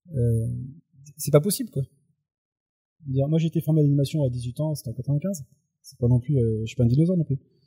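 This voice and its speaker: In a dry, close recording with no echo, a man with a fairly high pitch and a dark, mellow, somewhat breathy tone talks at a very fast pace, with ordinary pitch variation, big swings in loudness and long, frequent pauses. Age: 40s. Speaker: youth work trainer and blogger. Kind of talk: casual chat. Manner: halting.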